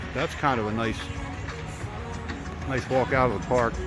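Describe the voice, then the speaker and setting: A man's dry, echo-free voice is heard with clear music behind it. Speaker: vlogger. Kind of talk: casual vlog chat. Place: street. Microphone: phone near.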